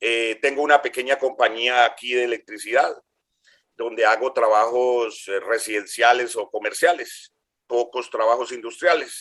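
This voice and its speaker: Speaking with fairly even intonation at a medium pitch, a man has an unremarkable speaking voice. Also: fairly slow pace. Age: 60s. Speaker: engineering graduate, electrician, county employee. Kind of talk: interview.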